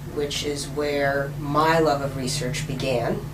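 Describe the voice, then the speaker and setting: A woman with a very deep, low voice speaks over noticeable background noise, with audible echo from the room. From New York City. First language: Russian. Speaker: professor. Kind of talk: interview.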